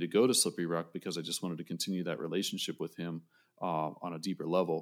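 A man with an American accent, a very deep, low pitch, a very fast pace, and a very clean recording with a silent background. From western Pennsylvania, Johnstown. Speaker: saxophonist and music educator. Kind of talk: casual interview chat.

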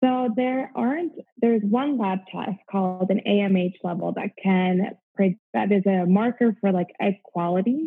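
A woman speaks in an ordinary speaking voice with an American accent, at medium pitch. Her intonation is lively and her pace fairly slow. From US Midwest. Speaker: gynecologist. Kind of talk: interview. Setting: remote call.

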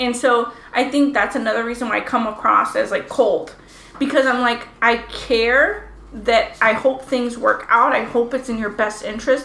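A woman speaks at a high pitch with fairly even intonation. Noticeable background noise and audible room echo surround her voice. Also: moderate pace. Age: 30s. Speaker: podcast co-host. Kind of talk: casual chat.

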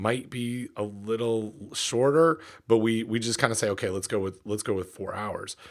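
A man with an Ontario accent, medium in pitch, at a moderate pace, on a very clean recording with a silent background. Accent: Canadian (Ontario). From Canada, Ontario (near Peterborough). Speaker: podcast co-host. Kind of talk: casual chat. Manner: halting, many false starts.

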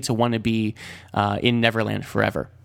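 An unremarkable speaking voice with fairly even intonation. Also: man. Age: 20s. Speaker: solo movie podcast host. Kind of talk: casual solo movie review. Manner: many fillers and restarts.

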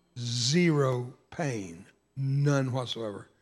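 This man's voice is medium in pitch and somewhat breathy. The recording is very clean, with a silent background. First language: Spanish. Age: 70s. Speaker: evangelist and war veteran. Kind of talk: sermon. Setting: church. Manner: animated, joking.

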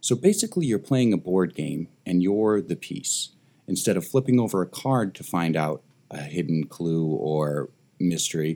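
A man's voice sits very deep and low, with a dark, mellow tone. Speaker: escape room business owner, podcast guest. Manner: smooth, polished delivery.

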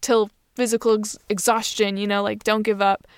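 Heard on a very clean recording with a silent background and a dry, close sound with no echo, a woman speaks at a medium pitch in a monotone, flat intonation. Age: 20s. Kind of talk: solo podcast monologue. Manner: casual, filler-heavy.

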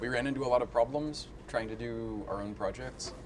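A man's moderate-paced speech comes through over noticeable background noise. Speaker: podcast host. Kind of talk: casual chat. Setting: outdoors and restaurant, mic'd up.

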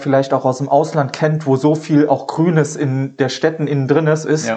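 A dark, mellow tone at a moderate pace, flat and monotone in intonation. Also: man. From Saarland, Germany (Dudweiler, Saarbrücken). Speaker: plant seller and small business owner. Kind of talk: casual interview.

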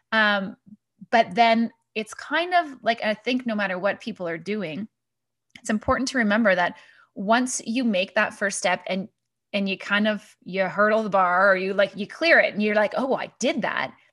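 In a very clean recording with a silent background, a woman uses a normal speaking voice, fairly high in pitch, with ordinary pitch variation at a moderate pace. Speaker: podcast host. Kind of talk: interview.

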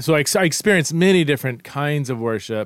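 In a very clean recording with a silent background, a man with a plain, everyday voice speaks at a fairly high pitch with lively intonation. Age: 40s. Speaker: podcast host. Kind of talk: casual chat.

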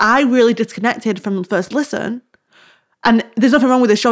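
Her pace is very fast. This woman's voice sits at a fairly high pitch. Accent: British. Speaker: podcast host and creative coach. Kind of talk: casual chat. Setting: home recording in living room. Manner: fast talker; rambling, animated.

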